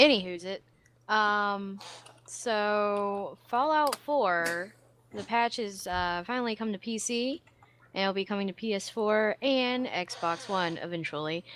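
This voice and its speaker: A woman with an American accent speaks at a very slow pace against a quiet background. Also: medium pitch for a woman, ordinary pitch variation. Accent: slight Southern, stronger when angry. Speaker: podcast co-host, gaming news. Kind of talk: casual news reading.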